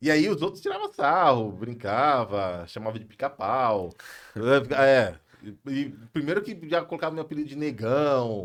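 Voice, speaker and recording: Swinging very widely in pitch, a man with a fairly high voice speaks at a fairly slow pace. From São Paulo, Brazil. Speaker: pastor and businessman. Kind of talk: podcast interview. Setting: live podcast studio.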